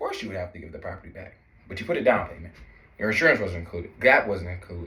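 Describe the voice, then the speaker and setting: Talking at a very fast pace with big swings in loudness, a man is heard amid audible room echo and noticeable background noise. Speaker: consumer law educator. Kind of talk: tutorial. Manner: casual.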